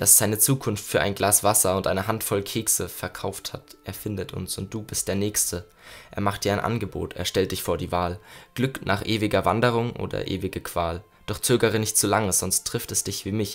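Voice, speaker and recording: Here a man talks at a moderate pace with fairly even intonation. He has an ordinary speaking voice and a fairly low pitch. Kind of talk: poetry slam, spoken-word performance of a written poem. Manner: intense and rhythmic, building from hushed, melancholy lines to angry, urgent bursts; reflective, with pauses and repeated refrains.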